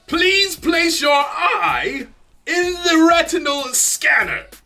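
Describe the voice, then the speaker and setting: Shouting in a put-on character voice with a British accent, the speaker goes at a very slow pace. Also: man, extremely high pitch for a man. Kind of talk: stiff, formal.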